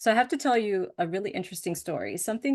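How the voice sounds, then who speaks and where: Vocal fry runs through a woman's speech at a very fast pace. Her pitch variation is ordinary, and the background is quiet. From US Northeast, suburbs of Boston. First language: Spanish. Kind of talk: presentation talk.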